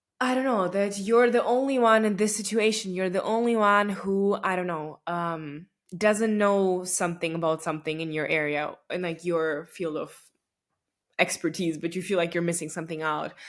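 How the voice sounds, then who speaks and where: A woman with a Russian accent speaks with ordinary pitch variation. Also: medium pitch for a woman, moderate pace, very clean recording, silent background. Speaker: podcast host. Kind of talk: casual monologue. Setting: recording at home late at night. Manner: conversational with many fillers.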